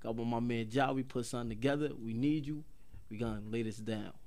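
Audible room echo surrounds a man speaking at medium pitch and a fairly quick pace. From Paterson, New Jersey. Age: 30s. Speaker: rapper. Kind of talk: casual chat. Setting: studio.

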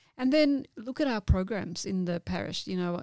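A woman speaks fairly quickly in a dark, mellow tone, the sound dry and close with no echo. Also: very clean recording, silent background. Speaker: parish council chairperson. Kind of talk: interview.

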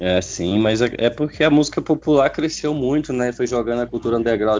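A man talks at a moderate pace with ordinary pitch variation. He has a plain, everyday voice. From Jataí, Goiás, Brazil. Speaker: rapper. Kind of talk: casual interview.

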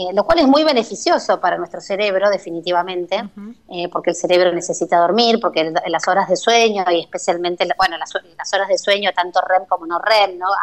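With hardly any pauses, a woman talks at a fairly quick pace and a medium pitch in a plain, everyday voice with ordinary pitch variation. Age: 50s. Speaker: neuropsychologist. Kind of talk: radio interview.

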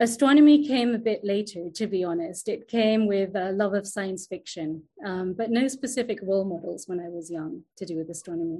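With a British accent, a woman speaks at a fairly quick pace with hardly any pauses, her dark, mellow tone at a medium pitch with ordinary variation. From England, London. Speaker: astronomer, science manager. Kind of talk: interview. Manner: hesitant, many fillers.

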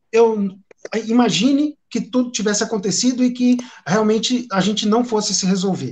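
This man has a high-pitched voice. He talks at a moderate pace with fairly even intonation. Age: 40s. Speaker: drumstick sponsor. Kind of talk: conversation on a live stream.

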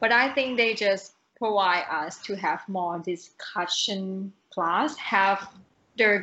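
A woman speaks at a very slow pace with a Thai accent. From Thailand. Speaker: renewable energy professional, podcast guest. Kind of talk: casual interview chat.

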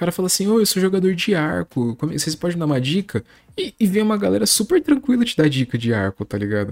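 Very wide pitch swings run through the speech at a very fast pace. The sound is dry and close, with no echo. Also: man, high pitch for a man. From Brazil, São Paulo. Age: 20s. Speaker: podcast host. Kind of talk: casual chat. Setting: remote recording. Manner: animated.

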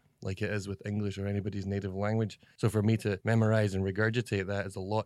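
A man with a Scottish accent talks very fast in a fairly low, dark, mellow voice with monotone, flat intonation, captured in a very clean recording with a silent background. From Scotland. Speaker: comedy video actor. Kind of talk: interview. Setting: office.

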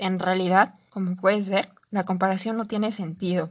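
A woman speaks in a Mexican accent at a medium pitch and a moderate pace. Her intonation stays monotone and flat over a quiet background. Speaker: life coach. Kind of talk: solo podcast monologue.

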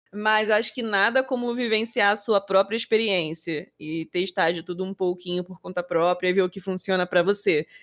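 Speaking with hardly any pauses, a woman uses an ordinary speaking voice of medium pitch. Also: ordinary pitch variation, moderate pace. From Rio de Janeiro, Brazil. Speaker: podcast co-host. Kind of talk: casual chat.

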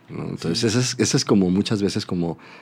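The background is silent on this very clean recording. A man does the talking. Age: 30s. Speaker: advertising creative. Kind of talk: casual interview chat. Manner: halting, repeats words.

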